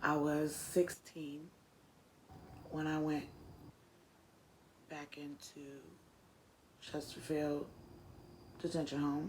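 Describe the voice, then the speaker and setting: In an American accent, a woman speaks at a very slow pace with long, frequent pauses, a very deep, low pitch, monotone, flat intonation and big swings in loudness. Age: 30s. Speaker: former juvenile offender. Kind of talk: interview testimony. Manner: hesitant, many fillers.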